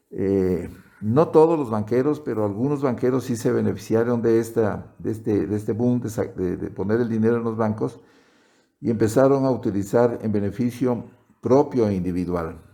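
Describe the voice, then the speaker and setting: A man's dark, mellow tone at a moderate pace. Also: medium pitch for a man, ordinary pitch variation. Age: 60s. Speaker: retired-age doctor interviewed by granddaughter. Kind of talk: interview. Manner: halting, many repetitions.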